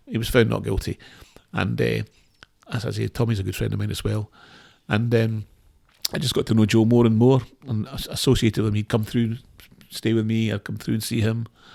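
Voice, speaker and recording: A man with a dark, mellow tone talks at a fairly quick pace. He leaves long, frequent pauses. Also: medium pitch for a man. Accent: Scottish. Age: 60s. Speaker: former lawyer. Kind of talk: podcast interview, telling his story. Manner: halting, many repeated words.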